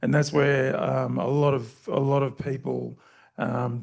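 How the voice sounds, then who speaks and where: Fairly slow pace from a man with an Australian accent. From Queensland, Australia. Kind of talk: panel discussion. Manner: halting, many fillers.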